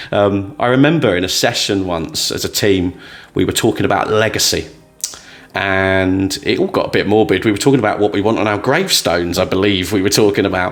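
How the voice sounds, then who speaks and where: Fairly low-pitched man with a British accent at a fairly quick pace, noticeable background noise behind him. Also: ordinary pitch variation. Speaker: motivational storyteller, former trainer. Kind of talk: motivational talk to camera. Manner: loud.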